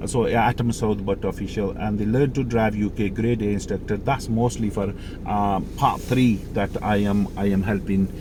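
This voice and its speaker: A man speaks in a fairly low pitch with monotone, flat intonation. Audible room echo and noticeable background noise surround him. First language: Mirpuri or Urdu. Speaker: driving instructor. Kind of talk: tutorial. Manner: halting, many fillers.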